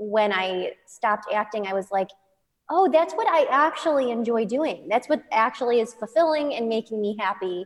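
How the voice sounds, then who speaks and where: With an American accent and an ordinary speaking voice, a woman at a fairly high pitch talks at a moderate pace with lively intonation. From US Midwest, Chicago. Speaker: dance studio owner and teacher. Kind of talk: casual interview.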